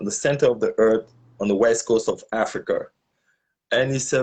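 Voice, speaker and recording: A man speaks with a slight French accent. His pace is moderate. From Gabon. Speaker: social activist. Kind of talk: interview. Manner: halting.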